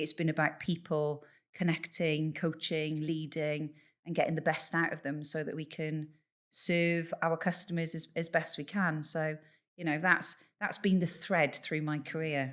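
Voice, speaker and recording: A woman's very deep, low voice, monotone and flat in intonation, at a fairly slow pace. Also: very clean recording, silent background. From Bath, West Country England. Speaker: leadership coach and funeral celebrant. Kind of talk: podcast interview.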